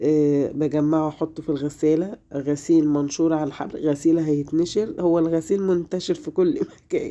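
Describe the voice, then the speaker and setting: The voice has a dark, mellow tone and fairly even intonation. It moves at a fairly slow pace. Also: woman. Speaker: home vlogger, mother. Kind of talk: casual vlog narration. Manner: halting, with fillers.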